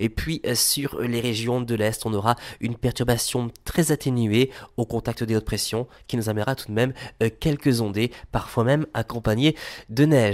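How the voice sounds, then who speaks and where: Pitched at a medium level, a man with an unremarkable speaking voice talks at a moderate pace with fairly even intonation in a very clean recording with a silent background. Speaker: weather forecaster. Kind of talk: scripted weather report. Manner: formal, brisk, even delivery; clear, measured, listing temperatures and regions.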